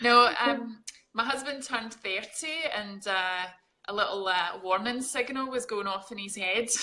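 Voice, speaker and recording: A woman speaks with a Scottish accent at a moderate pace. Her pitch moves in an ordinary way. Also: fairly high pitch for a woman. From Scotland, Glasgow. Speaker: fitness coach. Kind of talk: casual interview.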